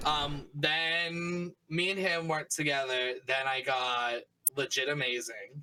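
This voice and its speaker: Speaking with a Boston accent, a man with a fairly high pitch moves at a very slow pace, his loudness very even and his intonation fairly even. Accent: Boston-area. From Massachusetts, near Boston (Taunton). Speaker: streamer. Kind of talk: podcast interview. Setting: live-streamed podcast.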